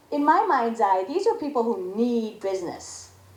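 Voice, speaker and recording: Fairly high-pitched female speech at a moderate pace amid audible room echo. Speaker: panelist. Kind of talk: panel discussion.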